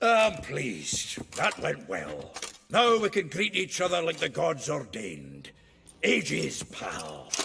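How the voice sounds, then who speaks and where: Gruff, put-on character voice from a man, fairly high in pitch and fairly slow in pace. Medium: video game. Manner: gruff, hearty, swearing.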